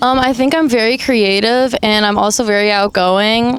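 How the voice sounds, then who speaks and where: The intonation stays fairly even. Noticeable background noise runs underneath. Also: woman. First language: Armenian. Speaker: aspiring model. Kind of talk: interview.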